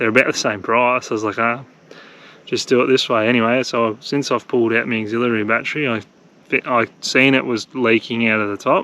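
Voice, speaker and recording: With an Australian accent, a man talks at a fairly quick pace in a medium pitch with monotone, flat intonation. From Australia, country Victoria. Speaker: travel vlogger. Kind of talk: casual vlog narration. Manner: casual, hesitant with fillers; quiet.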